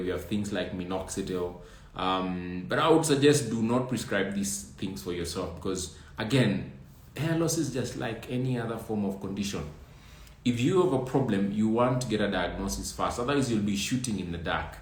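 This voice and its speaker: A man talks at a moderate pace in a fairly low, somewhat breathy voice. His intonation is lively, and there is audible room echo. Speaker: trichologist answering viewer questions. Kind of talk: live stream Q&A.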